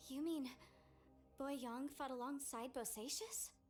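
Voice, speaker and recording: A put-on character voice, female-sounding and high in pitch, at a fairly slow pace with clear background noise. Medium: video game. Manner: inquisitive, expressive.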